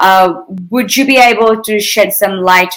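Ordinary pitch variation runs through a plain, everyday voice. The delivery is fairly slow. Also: woman. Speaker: interviewer. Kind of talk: fireside chat interview. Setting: video call.

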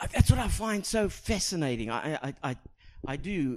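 A speaker with a South African accent talks at a moderate pace. The pitch swings very widely. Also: man. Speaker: pastor. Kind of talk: sermon. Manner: halting, repeats words.

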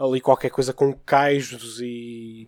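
In a dry, close recording with no echo, a man speaks in a monotone, flat intonation. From Porto, northern Portugal. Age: 20s. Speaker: podcast guest, manga fan. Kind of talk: casual chat.

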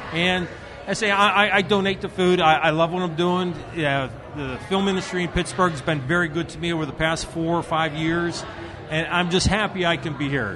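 A man's high voice at a fairly quick pace, with fairly even intonation, over noticeable background noise. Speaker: restaurant owner and film caterer. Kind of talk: casual interview at event. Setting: live event, noisy gala.

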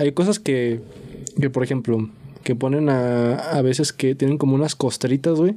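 Speaking with a Mexican accent at a moderate pace, the voice has a dark, mellow tone, ordinary pitch variation and very even loudness. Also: man. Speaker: podcast host. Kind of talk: casual chat.

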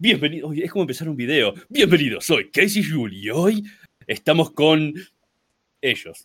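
A man in a Rioplatense accent talks at a moderate pace with lively intonation. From Argentina. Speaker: content creator. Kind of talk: casual chat.

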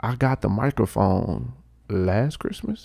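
The voice has a dark, mellow tone with vocal fry and ordinary pitch variation, recorded dry and close with no echo. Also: man. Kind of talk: casual chat.

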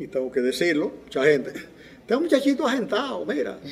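A man talks at a fairly quick pace. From Dominican Republic, La Vega (Cibao). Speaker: civil engineer and former congressman. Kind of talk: interview testimony.

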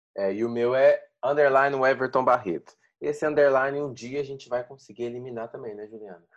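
At a fairly quick pace, a man uses a normal speaking voice of medium pitch with fairly even intonation and big swings in loudness. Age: 30s. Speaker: podcast co-host and former cooking show contestant. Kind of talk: casual chat.

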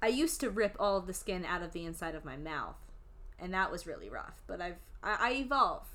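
A woman with an American accent talks fairly quickly at a medium pitch, her tone bright and sharp, her intonation lively, and her loudness swinging widely. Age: 20s. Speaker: podcast host. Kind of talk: casual chat.

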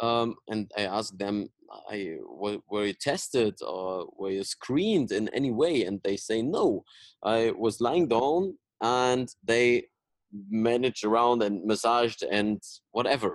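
Speaking in a German accent, a man keeps to a fairly slow pace and a medium pitch with ordinary pitch variation. The sound is dry and close with no echo, over a quiet background. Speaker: podcast host, mobility coach. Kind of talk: interview. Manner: halting.

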